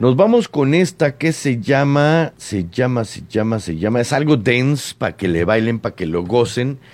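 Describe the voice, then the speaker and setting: Here is a man with a medium pitch and an animated tone. He speaks at a fairly slow pace. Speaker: radio host. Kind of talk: casual radio chat. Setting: radio studio.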